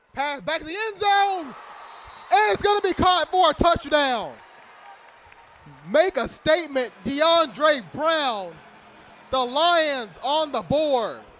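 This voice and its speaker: Crowd noise fills the background while a man speaks in an extremely high voice. His pace is very slow, with long, frequent pauses. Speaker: sports play-by-play announcer. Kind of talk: live sports play-by-play commentary.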